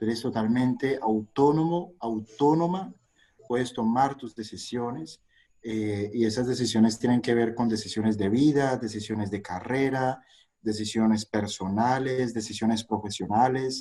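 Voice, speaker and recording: This man talks at a fairly slow pace with a dark, mellow tone, a medium pitch and ordinary pitch variation. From Colombia, Cali. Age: 40s. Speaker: investor. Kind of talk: interview. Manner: hesitant with frequent fillers.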